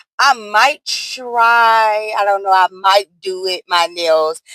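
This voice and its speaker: Loud and dry, the close recording with no echo carries a woman's medium-pitched voice, bright and sharp in tone, with ordinary pitch variation. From US South. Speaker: nail art content creator. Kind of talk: tutorial. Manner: casual, chatty.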